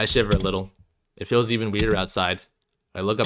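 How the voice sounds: A natural reading voice with fairly even intonation and a quiet background.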